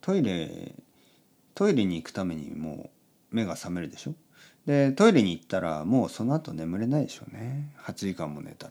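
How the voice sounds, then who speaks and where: A man talks in a relaxed tone at a fairly low pitch, with very wide pitch swings and big swings in loudness. The recording is very clean, with a silent background. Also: moderate pace. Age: 40s. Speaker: podcast host for Japanese learners. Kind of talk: casual bedtime monologue.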